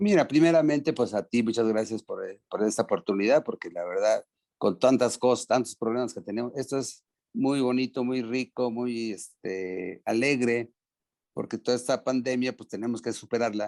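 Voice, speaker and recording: A man speaks at a moderate pace with a Mexican accent. The sound is dry and close, with no echo. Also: medium pitch for a man, ordinary pitch variation. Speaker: former American football player. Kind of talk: interview. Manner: hesitant, many fillers.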